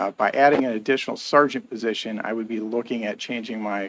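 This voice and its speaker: A soft-spoken man talks at a medium pitch. His intonation stays fairly even. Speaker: police chief. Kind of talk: council meeting presentation.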